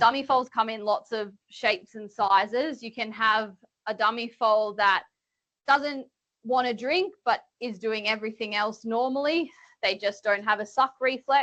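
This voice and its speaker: A woman speaks with an Australian accent, her pitch sitting fairly high. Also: ordinary pitch variation. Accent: Australian twang. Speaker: veterinarian. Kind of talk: webinar presentation. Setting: webinar.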